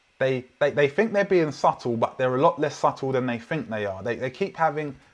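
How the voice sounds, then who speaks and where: The speaker has a London accent. Pitch varies in an ordinary way. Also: man. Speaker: preacher. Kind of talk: sermon. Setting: online church livestream.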